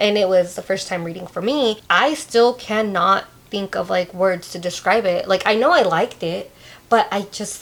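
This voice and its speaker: This woman speaks with a Spanish accent. Her pitch sits in the medium range and varies in an ordinary way. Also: moderate pace. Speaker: podcast co-host. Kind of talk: casual chat. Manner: animated, stumbles over words when excited.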